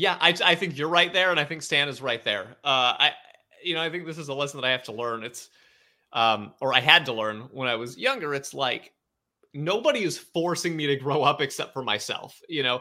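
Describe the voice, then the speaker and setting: In a very clean recording with a silent background, a man with a fairly high pitch and a bright, sharp tone speaks at a fairly quick pace. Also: ordinary pitch variation. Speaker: podcast host. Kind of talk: casual chat.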